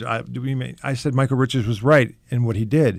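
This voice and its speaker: A man's normal speaking voice at a medium pitch and a fairly quick pace. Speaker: comic magician. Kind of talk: radio interview answer. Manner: casual, candid, wry.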